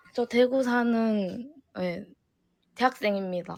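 Her pitch is fairly high. This woman speaks at a very slow pace. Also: ordinary pitch variation. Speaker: fan caller in live audio chat. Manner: nervous, excited.

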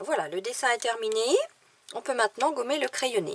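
A woman's voice with a high pitch. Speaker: watercolour teacher and illustrator. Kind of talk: tutorial. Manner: slow.

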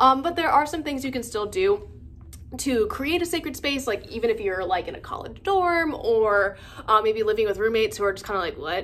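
Fairly quick woman's voice, high-pitched, with very wide pitch swings. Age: 20s. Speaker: witchcraft content creator. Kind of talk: casual vlog monologue. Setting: filming alone at home. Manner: hesitant, many fillers. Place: home room. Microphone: phone near.

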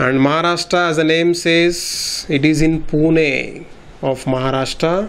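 The delivery is fairly slow, with fairly even intonation and very even loudness. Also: man. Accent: Indian. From India. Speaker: exam prep teacher. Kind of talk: tutorial. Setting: recorded video lesson. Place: studio. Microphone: lapel.

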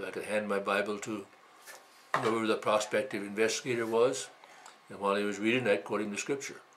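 There is light background noise as a man with an Upper Midwest accent talks at a fairly quick pace in a fairly low pitch. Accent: Upper Midwest American. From Wisconsin. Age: 80s+. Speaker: male midwife. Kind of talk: interview answer. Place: home room. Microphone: camera far.

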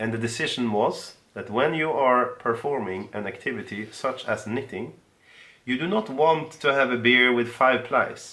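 With a Swedish accent, a man speaks at a medium pitch. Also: ordinary pitch variation, moderate pace. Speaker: yarn business co-owner; podcast co-host. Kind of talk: casual chat. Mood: playful, explanatory. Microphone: camera far.

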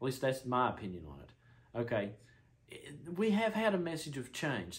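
A somewhat breathy man talks at a moderate pace with a fairly high pitch and very wide pitch swings. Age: 30s. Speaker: YouTuber discussing spiritual interpretations; vlogger. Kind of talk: solo monologue. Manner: halting, many fillers and restarts. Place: home room. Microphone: camera far.

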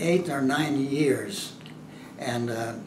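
Noticeable background noise sits behind this man's voice. He speaks very slowly with ordinary pitch variation. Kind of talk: interview answer. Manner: hesitant, many fillers.

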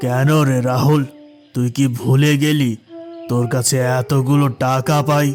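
Over faint music in the background, a man does a cartoonish character voice at medium pitch, speaking fairly slowly with monotone, flat intonation and very even loudness. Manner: curt, domineering, contemptuous.

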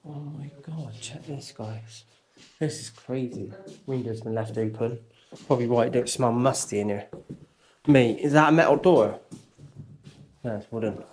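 A somewhat breathy man at a moderate pace, with ordinary pitch variation, long and frequent pauses, and light background noise. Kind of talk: casual exploration commentary. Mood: excited, amazed. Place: home room. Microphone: phone near.

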